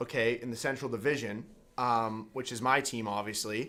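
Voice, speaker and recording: A man with a Canadian accent talks at a medium pitch. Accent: Canadian, noticeable. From Canada, Winnipeg, Manitoba. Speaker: college hockey player and podcast host. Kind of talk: casual chat. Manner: animated.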